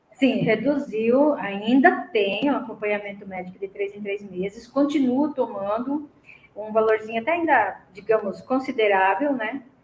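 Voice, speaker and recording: A woman with a fairly high pitch and ordinary pitch variation speaks at a fairly slow pace, her loudness swinging widely over noticeable background noise. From Brazil, Paraná. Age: 50s. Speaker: retired student of cooking course. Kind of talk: testimony.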